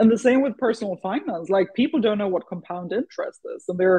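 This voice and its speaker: Here a woman talks with a Swedish accent. Her pitch is medium and her intonation lively. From Sweden. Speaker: startup founder and CEO. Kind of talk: interview. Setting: radio show.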